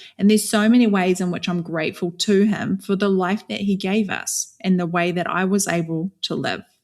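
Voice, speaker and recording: Speaking at a fairly quick pace with a New Zealand accent, a woman keeps her medium-pitched voice fairly even in intonation on a very clean recording with a silent background. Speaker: author and speaker, former cult member. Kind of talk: podcast interview, personal story.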